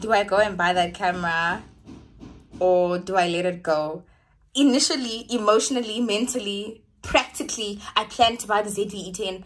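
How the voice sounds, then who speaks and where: Music plays in the background as a woman talks at a moderate pace with ordinary pitch variation. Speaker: vlogger. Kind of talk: casual vlog chat. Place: home room. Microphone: phone near.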